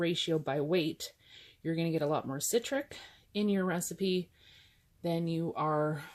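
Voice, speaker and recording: A woman's fairly low voice moves with ordinary pitch variation in a very clean recording with a silent background. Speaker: bath bomb maker. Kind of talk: tutorial narration. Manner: unenthusiastic.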